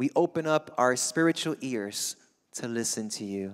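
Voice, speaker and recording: The speaker has a Spanish accent and an animated tone. The pace is fairly slow, and the background is quiet. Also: man. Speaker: guest preacher. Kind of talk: sermon. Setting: church. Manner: animated, fervent. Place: church. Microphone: handheld.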